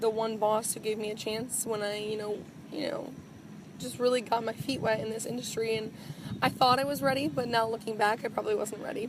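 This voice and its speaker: Fairly quick, fairly even speech from a woman pitched fairly high. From Wisconsin, Green Bay. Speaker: TV news anchor and reporter. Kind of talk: interview.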